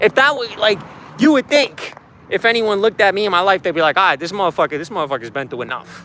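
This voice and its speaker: A man's high, raised, projected voice with a Boston accent, very wide pitch swings and a very fast pace, dry and close with no echo over noticeable background noise. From Boston, Massachusetts (Dorchester). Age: 20s. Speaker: livestreamer. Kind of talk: testimony. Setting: livestream. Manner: casual, profane.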